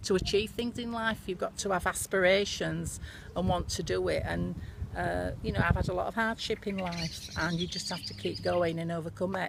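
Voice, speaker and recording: A woman with a West Yorkshire accent at a moderate pace. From northern England, Bradford, West Yorkshire. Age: 60s. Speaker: businesswoman. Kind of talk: casual reminiscence to camera.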